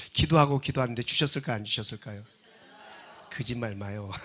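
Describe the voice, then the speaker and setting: Medium-pitched male voice with a bright, sharp tone. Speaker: guest pastor, revival speaker. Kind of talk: sermon. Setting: church. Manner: usually calm and dignified.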